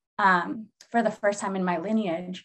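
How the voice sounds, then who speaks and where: With a plain, everyday voice and an American accent, a woman speaks at a moderate pace, at a medium pitch, with fairly even intonation. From Seattle, US Pacific Northwest. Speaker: therapist and healer. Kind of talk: casual chat.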